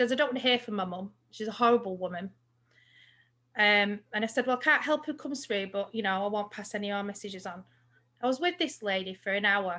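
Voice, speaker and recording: In an English accent, a woman talks at a very fast pace with a medium pitch and a bright, sharp tone on a very clean recording with a silent background. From England. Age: 40s. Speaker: psychic medium. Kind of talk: casual chat.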